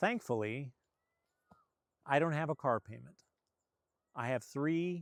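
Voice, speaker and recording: The recording is very clean, with a silent background and a dry, close sound with no echo. A man talks at a fairly slow pace with ordinary pitch variation. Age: 60s. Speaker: channel host sharing personal finance story. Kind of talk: personal confessional talk to camera. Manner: candid, earnest.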